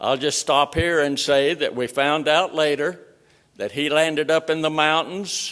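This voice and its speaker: Speaking at a fairly slow pace, a man keeps a fairly high pitch and a monotone, flat intonation. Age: 80s+. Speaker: World War II veteran. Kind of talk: speech at chapel service.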